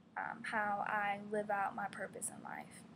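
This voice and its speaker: Speaking at a very slow pace in an American accent, a woman is heard with audible room echo and noticeable background noise. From Virginia, Gloucester (US South). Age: 20s. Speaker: graduate student. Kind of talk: class presentation. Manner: hesitant, many fillers.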